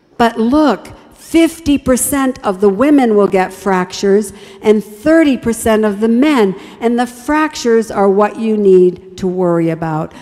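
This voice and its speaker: A woman with a warm tone, fairly high pitch and lively intonation at a fairly slow pace, amid noticeable background noise. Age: 70s. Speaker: health evangelist. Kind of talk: health talk at evangelistic series. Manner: warm, encouraging.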